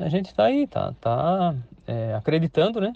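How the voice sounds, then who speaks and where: A man is speaking. His pace is moderate. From Santa Catarina, Brazil (São Pedro de Alcântara, Greater Florianópolis). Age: 50s. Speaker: farmer. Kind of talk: interview. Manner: halting, many repetitions and fillers.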